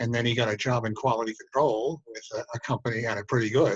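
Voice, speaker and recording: Speaking very fast in an American accent, a man with a medium-pitched, somewhat breathy voice is heard in a dry, close sound with no echo. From Connecticut. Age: 80s+. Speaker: military veteran, businessman. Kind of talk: interview answer.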